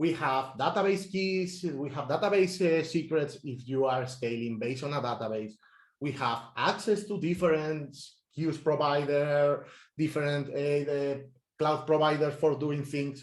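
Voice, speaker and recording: In a plain, everyday voice, a man talks at a fairly slow pace with a fairly high pitch and ordinary pitch variation. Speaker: software engineer. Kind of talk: technical talk. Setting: meetup talk.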